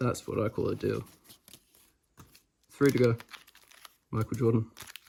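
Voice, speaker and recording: At a moderate pace, a man speaks in a New Zealand accent. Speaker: trading card game content creator. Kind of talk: pack opening video, casual chat. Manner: casual, halting with fillers.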